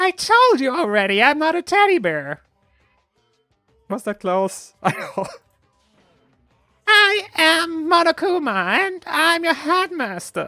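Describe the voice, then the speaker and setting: A man's put-on character voice, squeaky and extremely high in pitch, at a fairly slow pace with long, frequent pauses and faint music in the background. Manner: smug, taunting.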